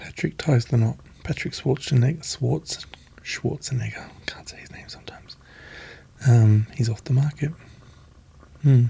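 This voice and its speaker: Soft-spoken delivery with an Australian accent at a moderate pace, with ordinary pitch variation, big swings in loudness, and long, frequent pauses. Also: man, medium pitch for a man. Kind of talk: ASMR magazine reading.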